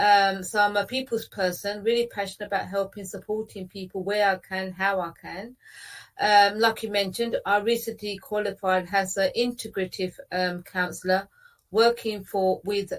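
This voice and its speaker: A woman with an English accent, medium pitch and monotone, flat intonation at a moderate pace, in a very clean recording with a silent background. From England, British Punjabi Sikh family. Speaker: counsellor. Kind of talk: interview. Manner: hesitant, many fillers.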